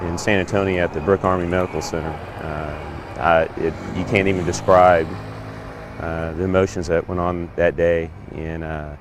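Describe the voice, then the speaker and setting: Over noticeable background noise, a man speaks at a moderate pace with a very deep, low pitch and fairly even intonation. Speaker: B-25 pilot. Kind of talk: interview answer.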